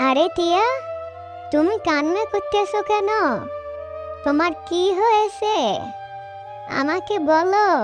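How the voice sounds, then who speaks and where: An extremely high-pitched cartoonish character voice speaks at a very slow pace. Loud music plays in the background. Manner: gentle, reassuring.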